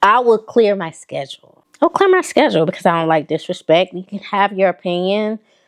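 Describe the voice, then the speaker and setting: Speaking with a Southern accent at a fairly quick pace with hardly any pauses, a woman of medium pitch has an animated tone, lively intonation and big swings in loudness, in a dry, close sound with no echo. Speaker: fashion vlogger. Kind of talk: casual chat.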